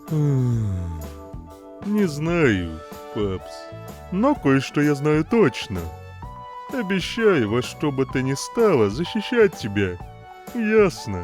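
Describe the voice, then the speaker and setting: Clear music plays in the background while a man talks in a put-on character voice at a very slow pace. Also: medium pitch for a man. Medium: dub.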